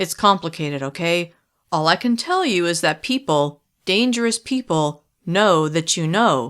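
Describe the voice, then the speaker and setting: A woman's put-on character voice, fairly low in pitch, at a moderate pace, on a very clean recording with a silent background. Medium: read story. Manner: tense, low and controlled.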